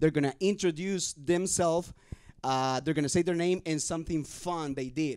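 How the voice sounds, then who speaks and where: A man's fairly high voice in a Spanish accent, with ordinary pitch variation. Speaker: youth podcast host. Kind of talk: casual chat.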